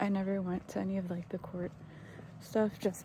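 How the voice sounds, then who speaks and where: Soft-spoken and somewhat breathy, a woman speaks at a medium pitch and moderate pace with a dark, mellow tone. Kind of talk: casual vlog monologue. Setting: outdoors, walking at night. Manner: hesitant, many fillers.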